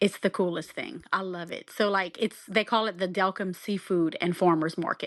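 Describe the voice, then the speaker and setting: Against a quiet background, a woman with a Southern Louisiana accent speaks at a medium pitch and moderate pace in a monotone, flat intonation. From South Louisiana. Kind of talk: podcast guest conversation.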